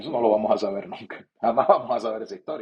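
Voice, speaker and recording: With lively intonation, a man talks in a plain, everyday voice. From Venezuela. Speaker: sports broadcaster. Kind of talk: interview answer.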